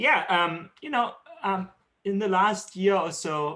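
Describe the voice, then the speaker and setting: In a German accent, a man talks with ordinary pitch variation. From Germany. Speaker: tech company executive. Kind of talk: keynote interview. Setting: video call. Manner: hesitant, many fillers.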